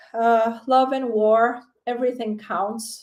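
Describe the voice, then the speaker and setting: A woman speaks with a Portuguese accent. Her pitch is high. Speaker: tarot reader. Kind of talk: live-stream tarot reading. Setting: live stream on camera. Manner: hesitant, with fillers and repeated words.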